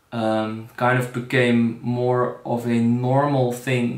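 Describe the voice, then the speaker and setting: A man speaks with fairly even intonation while audible room echo lingers around his voice. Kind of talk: direct-to-camera festival introduction. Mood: calm, sincere, slightly hesitant. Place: kitchen. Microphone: phone near.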